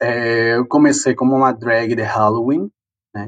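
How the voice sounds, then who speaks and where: It's a man speaking at a medium pitch. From Peru. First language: Spanish (speaking Portuguese). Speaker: drag performer and migrant. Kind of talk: interview testimony. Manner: animated.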